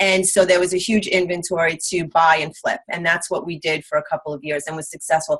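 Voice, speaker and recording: A woman talks at a fairly quick pace with hardly any pauses, in a strong Long Island accent. Her pitch is fairly low and her intonation is monotone and flat. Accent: thick Long Island. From US Northeast, Long Island, New York. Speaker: real estate investor. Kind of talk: interview. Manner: halting.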